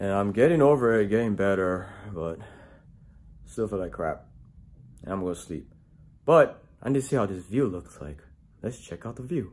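A man speaks at a moderate pace with lively intonation. He leaves long, frequent pauses. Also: fairly low pitch for a man. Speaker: travel vlogger. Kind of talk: casual vlog chat. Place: home room. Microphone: phone near.

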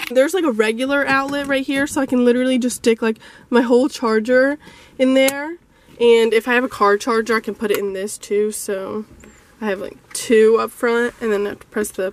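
A woman talks at a high pitch over light background noise. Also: ordinary pitch variation, fairly quick pace, dry sound with no echo. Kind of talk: casual vlog chat. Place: car. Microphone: phone near.

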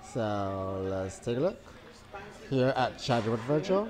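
Over noticeable background noise, a man talks at a fairly slow pace with lively intonation. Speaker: food vlogger. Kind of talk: casual vlog chat, food review. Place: cafe. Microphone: lapel.

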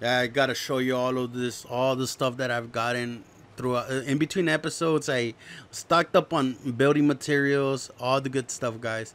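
A man with an American accent, moderate pace and fairly even intonation. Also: medium pitch for a man. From Texas. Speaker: gaming youtuber. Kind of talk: gameplay commentary.

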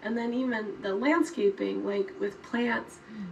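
An American accent marks a woman's unremarkable speaking voice, fairly high in pitch and at a moderate pace, over light background noise. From Colorado, US. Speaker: health ministry trainer. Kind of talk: training talk. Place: forest.

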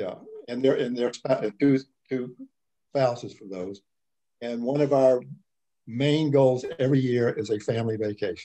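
Dark, mellow tone, fairly even intonation and a moderate pace with long, frequent pauses against a quiet background. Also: man. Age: 70s. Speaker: retiree. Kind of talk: casual interview. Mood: relaxed, reflective. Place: home room. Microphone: video call.

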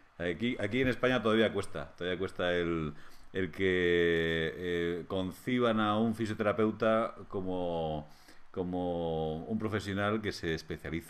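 A man speaks in a very deep, low voice with ordinary pitch variation. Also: fairly slow pace. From Spain, Madrid. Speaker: physiotherapy lecturer. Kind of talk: interview conversation. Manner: halting, many hesitations. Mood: warm, smiling, relaxed. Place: home room. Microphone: video call.

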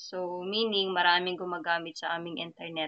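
A woman's fairly low voice stays monotone and flat at a moderate speed. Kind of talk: screen-share tutorial.

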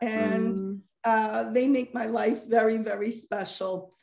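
A woman speaks very slowly with ordinary pitch variation against a quiet background. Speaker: guest. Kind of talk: interview answer. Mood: warm, friendly. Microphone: video call.

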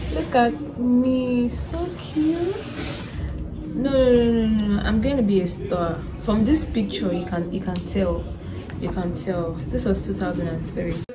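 With clear music in the background, a woman speaks at a very slow pace, leaving long, frequent pauses. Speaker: vlogger. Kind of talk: casual vlog chat. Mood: amused, nostalgic. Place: home room. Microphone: phone near.

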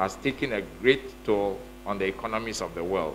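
Light background noise sits under the recording. A man talks at a moderate pace, his pitch varying in an ordinary way. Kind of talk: formal speech. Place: hall. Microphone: podium.

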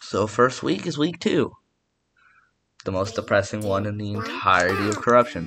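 A man talks quietly with ordinary pitch variation and long, frequent pauses. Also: fairly low pitch for a man, moderate pace. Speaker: gaming youtuber. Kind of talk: gameplay commentary. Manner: casual.

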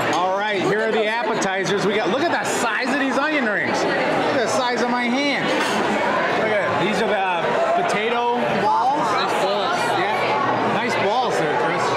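Long, frequent pauses break up the speech while crowd noise carries on in the background. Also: moderate pace. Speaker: food vlogger. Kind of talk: casual vlog chat. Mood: jovial, upbeat. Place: bar. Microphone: phone near.

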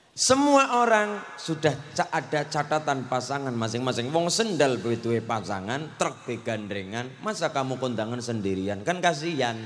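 The delivery moves at a moderate pace with hardly any pauses. Intonation is lively throughout. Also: man, medium pitch for a man. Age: 20s. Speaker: preacher. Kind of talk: sermon. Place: hall. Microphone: handheld.

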